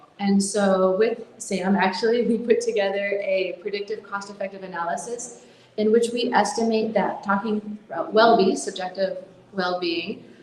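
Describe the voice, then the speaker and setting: Amid noticeable background noise and audible room echo, a woman with an American accent talks at a moderate pace with fairly even intonation. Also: medium pitch for a woman. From United States. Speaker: mental health nonprofit founder. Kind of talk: conference talk.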